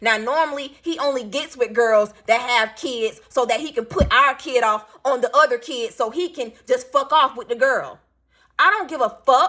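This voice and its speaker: In a raised, projected voice with a bright, sharp, animated tone, the speaker keeps a moderate pace and ordinary pitch variation on a very clean recording with a silent background. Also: woman, high pitch for a woman. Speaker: vlogger, single parent. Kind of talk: storytime rant vlog. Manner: not loud, doesn't yell.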